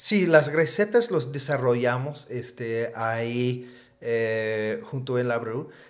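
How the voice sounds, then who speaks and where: A man at medium pitch, speaking at a very slow pace with ordinary pitch variation. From US Northeast (Vermont). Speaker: craft brewer. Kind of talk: casual interview.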